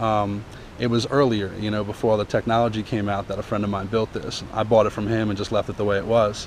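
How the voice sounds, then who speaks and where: A man's fairly low voice, very fast and monotone, with noticeable background noise. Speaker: vlogger. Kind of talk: tutorial.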